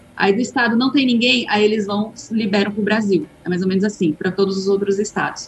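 A woman talks in an unremarkable speaking voice at a fairly quick pace, with hardly any pauses. Her pitch is medium, with ordinary variation. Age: 30s. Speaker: author and adoptive mother. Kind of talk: casual chat.

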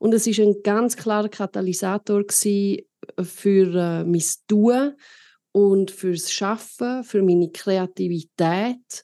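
A woman speaks at a very slow pace in a medium pitch with a dark, mellow tone. Her intonation is fairly even, and the background is quiet. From Switzerland, Arosa (Graubünden). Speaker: podcast host and keynote speaker. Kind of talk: casual interview.

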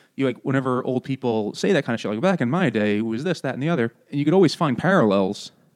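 A man with an American accent speaks very fast at a medium pitch, with lively intonation and hardly any pauses. The background is quiet. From New York. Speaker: podcast host. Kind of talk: casual chat.

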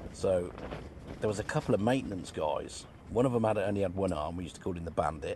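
A man talks at a very fast pace in a fairly low pitch with ordinary pitch variation, over noticeable background noise. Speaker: caller. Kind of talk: storytelling.

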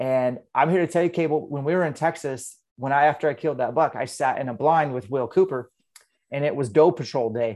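Against a quiet background, a man with an unremarkable speaking voice and an American accent talks at a fairly quick pace, his fairly high pitch varying in an ordinary way. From Eastern Washington, US. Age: 40s. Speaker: hunter and fitness coach. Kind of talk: casual interview.

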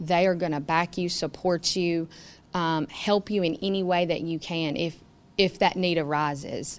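A woman's fairly low voice in a Tennessee accent with fairly even intonation against a quiet background. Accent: US Southern (Tennessee). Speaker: farmer and high school teacher. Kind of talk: interview.

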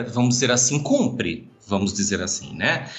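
Music plays in the background as a man of medium pitch speaks with lively intonation. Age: 50s. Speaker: marching band drum major and choreographer. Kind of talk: casual interview.

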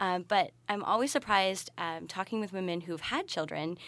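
Against a quiet background, a woman with a Canadian accent and an ordinary speaking voice talks at a fairly quick pace with ordinary pitch variation. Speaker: graduate student and sex educator. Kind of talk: interview.

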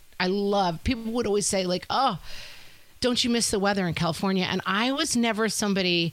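A woman with a New York accent speaks fairly quickly at a medium pitch, with ordinary pitch variation and very even loudness. The recording is very clean, with a silent background. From US Northeast, Westchester County New York. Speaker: podcast host. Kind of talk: casual chat. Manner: animated.

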